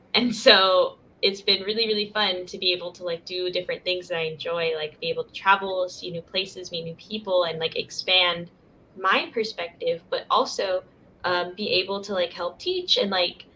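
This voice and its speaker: A woman with an American accent speaks at a moderate pace in a medium pitch, in a flat monotone with big swings in loudness. Noticeable background noise runs underneath. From US Southwest (Arizona). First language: Spanish. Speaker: university student and English coach. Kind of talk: casual interview.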